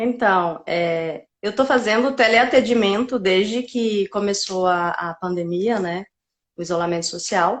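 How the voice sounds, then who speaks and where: Speech in a strong Paraíba accent comes at a fairly slow pace. Pitch variation is ordinary. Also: woman, medium pitch for a woman. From Paraíba, northeastern Brazil. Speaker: psychiatrist. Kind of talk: interview.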